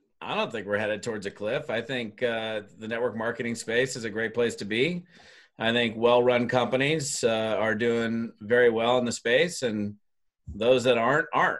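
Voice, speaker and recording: An unremarkable speaking voice from a medium-pitched man, moderate in pace with fairly even intonation. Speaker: network marketing trainer. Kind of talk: casual interview chat.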